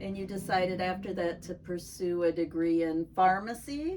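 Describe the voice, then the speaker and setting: Noticeable background noise beneath a woman speaking at a medium pitch. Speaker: interviewer. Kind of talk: interview questions.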